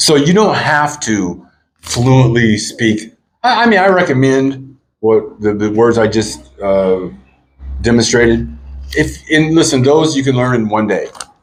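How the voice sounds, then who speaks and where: Speaking with an American accent, a man of medium pitch delivers lively intonation at a fairly slow pace, his loudness very even, with room echo audible. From US. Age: 50s. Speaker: vlogger. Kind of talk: casual vlog chat.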